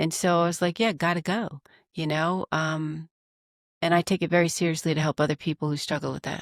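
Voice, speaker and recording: Fairly quick speech with fairly even intonation comes through a dry, close sound with no echo on a very clean recording with a silent background. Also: woman, fairly low pitch for a woman. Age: 60s. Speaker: executive coach and author. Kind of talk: podcast interview. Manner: halting, with repeated words.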